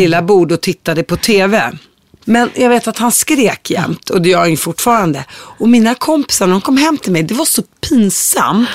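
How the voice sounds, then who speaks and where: At a moderate pace, the voice swings very widely in pitch, recorded with a dry, close sound and no echo. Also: woman. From Syria, Palestinian roots. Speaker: podcast host. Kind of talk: interview.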